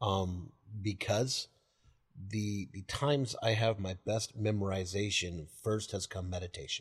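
Against a quiet background, a man speaks at a fairly low pitch with a somewhat breathy sound. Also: ordinary pitch variation, fairly slow pace. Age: 40s. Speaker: pastor. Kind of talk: teaching discussion about the Bible. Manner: halting, many fillers.

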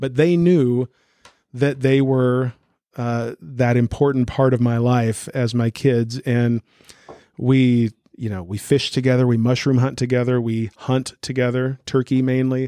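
Dry and close with no echo, the voice has a dark, mellow tone, fairly even intonation and a fairly slow pace. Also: man, medium pitch for a man. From Newton, US. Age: 50s. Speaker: pastor. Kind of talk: interview. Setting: church office.

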